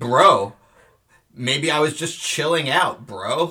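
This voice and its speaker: A man uses a put-on character voice, raspy and fairly high in pitch, delivered at a very slow pace. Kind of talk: casual slang. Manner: exaggerated laid-back.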